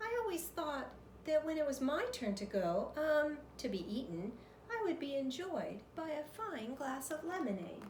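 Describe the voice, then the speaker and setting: A woman's put-on character voice, squeaky and high-pitched, with very wide pitch swings, a moderate pace and clear background noise. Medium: read story. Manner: overly polite, wordy.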